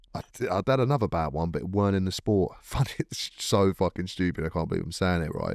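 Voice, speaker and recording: A man's very deep, low voice at a very fast pace, animated in tone, dry and close with no echo, on a very clean recording with a silent background. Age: 30s. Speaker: MMA fighter. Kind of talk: casual chat.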